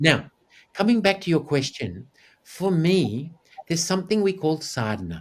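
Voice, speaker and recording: Speaking with an Australian accent, a man uses a fairly high pitch. His pitch swings very widely at a moderate pace. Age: 60s. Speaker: actor, TV anchor and yogi. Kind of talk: interview. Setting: video call.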